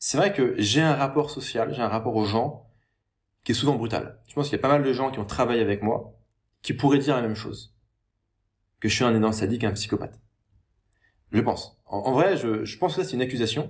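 A man speaks in a somewhat breathy voice, leaving long, frequent pauses. The background is quiet. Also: ordinary pitch variation, fairly quick pace. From France, Paris. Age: 30s. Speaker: online entrepreneur and YouTuber; YouTuber. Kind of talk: monologue responding to a critical comment. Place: home room. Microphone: webcam.

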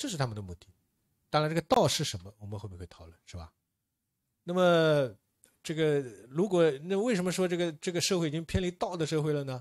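A man talking at a fairly quick clip, pitch swinging very widely, loudness rising and falling a lot, long and frequent pauses, quiet background. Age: young. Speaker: political science professor. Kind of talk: lecture. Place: hall.

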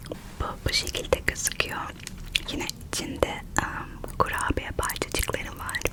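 A woman's playful whisper at a fairly slow pace, over noticeable background noise. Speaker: ASMR creator. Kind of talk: ASMR chocolate tasting mukbang, casual talk to camera. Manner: soft, friendly, playful.

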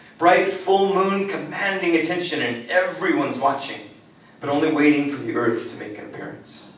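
A man speaks at a moderate pace with a high pitch and lively intonation. His loudness swings widely, and the room echo is audible. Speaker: performance poet. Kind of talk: spoken word poetry performance. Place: meeting room.

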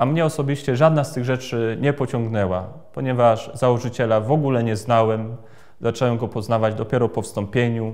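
A man with a normal speaking voice talks at a fairly quick pace, medium in pitch. His intonation is fairly even, and the background is quiet. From Poland, Greater Poland (Krzywiń); Greater Poland. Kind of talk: personal testimony. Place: church.

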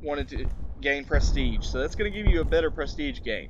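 The talking moves at a moderate pace against noticeable background noise. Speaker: gaming video creator. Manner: casual, frequent fillers.

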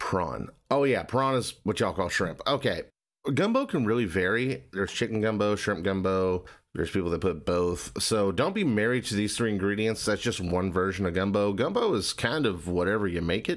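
Against a quiet background, a man with a fairly low voice speaks at a moderate pace, his loudness very even and his pitch varying in an ordinary way. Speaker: reaction youtuber. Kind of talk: casual reaction commentary. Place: home room.

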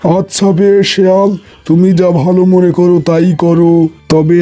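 A cartoonish character voice delivers its lines in a monotone, flat intonation. Music plays in the background. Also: man.

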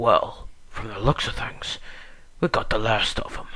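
Light background noise sits behind a put-on character voice. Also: man, moderate pace. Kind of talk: voice audition. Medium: voice reel. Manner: brash, taunting.

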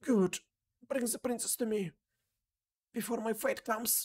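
A female-sounding, put-on character voice speaks at a fairly high pitch and a moderate pace.

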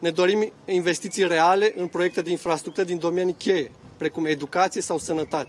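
A man's high-pitched voice, with fairly even intonation and a moderate pace. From Romania, Bucharest. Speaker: local politician, mayoral candidate; candidate. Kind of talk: campaign speech. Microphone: podium.

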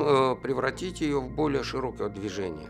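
A man talks at a moderate pace. Faint music can be heard in the background. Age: 50s. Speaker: human rights activist. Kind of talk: interview answer. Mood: reflective, somber. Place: studio.

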